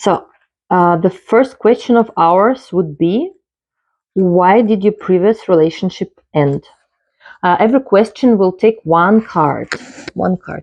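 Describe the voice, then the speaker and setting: A woman with a non-native accent, a very slow pace and long, frequent pauses. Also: medium pitch for a woman, ordinary pitch variation. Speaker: tarot reader. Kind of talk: tarot card reading tutorial. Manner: halting, with filler sounds.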